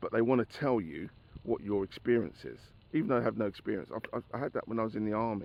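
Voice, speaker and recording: A man at medium pitch speaks with vocal fry. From England, grew up in Barkingside, east London. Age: 60s. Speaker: former children's home resident and army veteran. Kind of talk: personal reminiscence monologue. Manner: conversational, hesitant with fillers.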